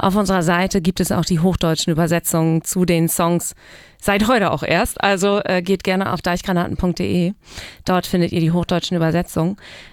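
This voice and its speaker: A woman with a fairly low voice speaks at a fairly quick pace, her intonation monotone and flat and her loudness very even. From East Frisia, northern Germany. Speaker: musician. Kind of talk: casual chat. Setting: studio.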